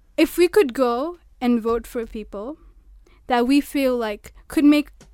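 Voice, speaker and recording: At a fairly slow pace, a woman with a high voice speaks in a dry, close sound with no echo. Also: long, frequent pauses, big swings in loudness. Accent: Kenyan coastal. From Kenya, Mombasa. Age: young. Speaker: law student. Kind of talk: radio discussion.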